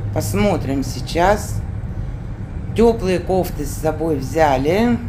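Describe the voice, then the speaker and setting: The speech unfolds at a very slow pace over noticeable background noise. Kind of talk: casual vlog chat. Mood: relaxed, chatty. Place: car. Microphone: phone near.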